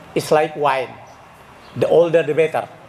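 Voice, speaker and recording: There is noticeable background noise behind the speech. A man talks in a fairly high pitch. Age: 70s. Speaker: former stock exchange director at reunion. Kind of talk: reunion speech.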